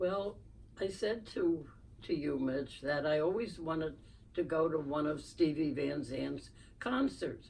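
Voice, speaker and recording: In a Philadelphia accent, the speaker uses vocal fry and ordinary pitch variation at a fairly slow pace, with audible room echo. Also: woman, very deep, low pitch for a woman. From Philadelphia, US. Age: 90s. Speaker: podcast guest, host's mother. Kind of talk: interview storytelling.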